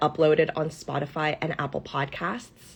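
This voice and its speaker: This woman has a very deep, low voice, somewhat breathy and animated, delivered at a moderate pace. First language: Cantonese. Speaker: business coach. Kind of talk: live stream.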